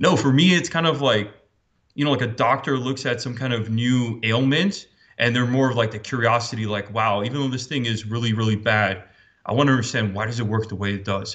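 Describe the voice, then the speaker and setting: A man at medium pitch speaks in a normal speaking voice, fairly quickly, with ordinary pitch variation. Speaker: cybersecurity expert. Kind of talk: interview.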